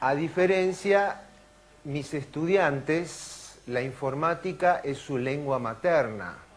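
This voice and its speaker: A man with an Argentine accent speaks very slowly at a fairly high pitch, with noticeable background noise and audible room echo. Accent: Argentine Spanish (Rioplatense). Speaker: neurologist and lecturer. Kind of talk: conference talk. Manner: animated.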